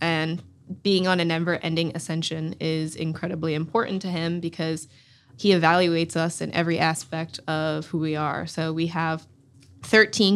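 A woman with an American accent has an ordinary speaking voice, pitched fairly low, at a moderate pace with fairly even intonation. The recording is very clean, with a silent background. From US South, Durham, North Carolina. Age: 20s. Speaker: professional soccer player. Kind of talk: interview.

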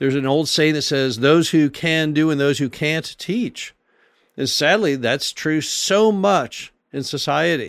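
A man with a fairly high pitch speaks in an ordinary speaking voice at a moderate pace. His intonation is lively, on a very clean recording with a silent background. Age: 60s. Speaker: podcast host and real estate investor. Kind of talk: solo monologue podcast.

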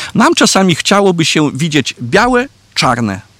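In a dry, close recording with no echo, a man with a Belarusian accent speaks at a moderate pace with very wide pitch swings. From Podlasie, Poland, near Belarus border. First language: Belarusian (speaking Polish). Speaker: Franciscan priest, parish priest. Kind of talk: interview on history. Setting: outdoors in castle courtyard. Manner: halting.

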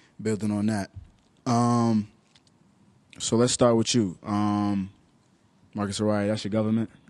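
A man with a New York accent speaks at a fairly low pitch and a fairly slow pace, leaving long, frequent pauses. His intonation is monotone and flat. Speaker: podcast host. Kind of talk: casual chat.

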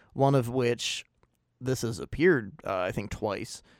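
A medium-pitched male voice with ordinary pitch variation and a moderate pace, on a very clean recording with a silent background. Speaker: podcast host guest. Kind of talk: casual interview chat. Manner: halting, nervous.

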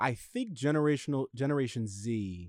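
A man with an ordinary speaking voice talks at a fairly slow pace with ordinary pitch variation, in a dry, close sound with no echo. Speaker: studio sound engineer. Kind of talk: casual chat.

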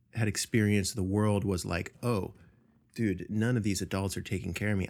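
A fairly low-pitched man with vocal fry and fairly even intonation, on a very clean recording with a silent background. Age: 30s. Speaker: podcast host. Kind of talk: casual chat. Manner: halting.

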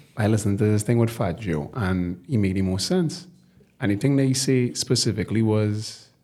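A man with a Trinidadian accent speaks in a fairly low, dark, mellow, somewhat breathy voice, in a very clean recording with a silent background. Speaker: podcast co-host. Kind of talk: casual chat. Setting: studio. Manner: animated.

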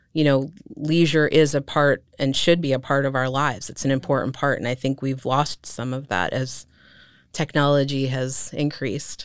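A woman with an American accent, very deep and low in pitch, fairly even in intonation, at a moderate pace, on a very clean recording with a silent background. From eastern Pennsylvania (Allentown). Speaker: sculptor and mixed media artist. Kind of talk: casual interview.

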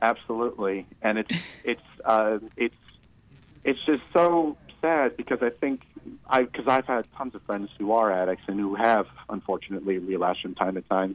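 A man's plain, everyday voice with an American accent, medium pitch and moderate pace, dry and close with no echo. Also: ordinary pitch variation. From Michigan, US. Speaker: caller in recovery, filmmaker. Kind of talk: phone-in conversation.

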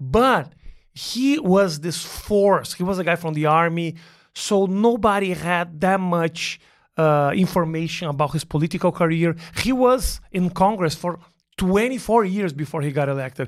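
A man with a Portuguese accent speaks at a moderate pace in a high voice with ordinary pitch variation, on a very clean recording with a silent background. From southern Brazil (Porto Alegre). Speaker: stand-up comedian. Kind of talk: casual chat. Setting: studio.

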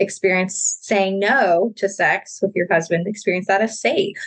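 This woman has an unremarkable speaking voice, medium in pitch and moderate in pace. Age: 30s. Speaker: clinical psychologist. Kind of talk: interview.

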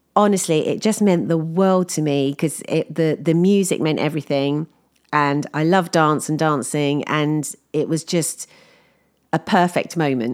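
In an English accent, a woman speaks at a fairly slow pace with a very deep, low pitch. Her pitch varies in an ordinary way, and the recording is very clean with a silent background. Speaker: podcaster. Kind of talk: casual monologue.

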